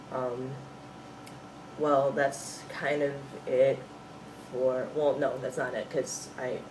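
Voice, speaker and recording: A man with an American accent at a very slow pace, with long, frequent pauses, noticeable background noise and audible room echo. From US Midwest. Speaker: vlogger. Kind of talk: video diary. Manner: hesitant, many fillers.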